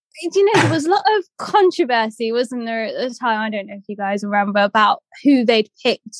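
A woman with an English accent, fairly high in pitch, at a moderate pace, in a dry, close sound with no echo. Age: 30s. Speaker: blind athlete and blogger, former documentary participant. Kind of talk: casual chat.

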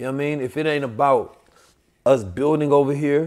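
A fairly high-pitched man's voice at a moderate pace. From Oakland, California and St. Louis. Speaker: podcast host. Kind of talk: casual chat. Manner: animated.

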